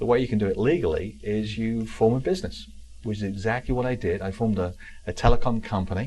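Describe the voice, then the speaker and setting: A man talks very fast in an English accent, his medium-pitched voice somewhat breathy. His tone is dark and mellow, with ordinary pitch variation. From South London, England (Wimbledon). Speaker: real estate keynote speaker and author. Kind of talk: interview. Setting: talk show.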